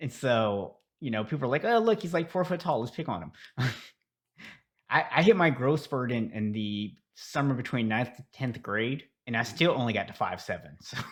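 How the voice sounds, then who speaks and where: In an ordinary speaking voice, a man talks at a moderate pace and medium pitch with lively intonation, on a very clean recording with a silent background. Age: 40s. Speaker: podcast host and habit coach. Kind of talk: podcast interview. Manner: casual, conversational.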